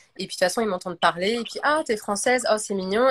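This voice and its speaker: A woman talks at a fairly high pitch with ordinary pitch variation. The recording is very clean, dry and close, with no echo and a silent background. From France. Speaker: actress. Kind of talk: casual chat. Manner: hesitant, many fillers.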